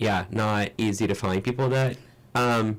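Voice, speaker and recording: A man with a slight non-native accent speaks at a fairly low pitch. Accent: slight foreign. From Brazil. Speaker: musician in a band. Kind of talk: radio interview. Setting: radio studio.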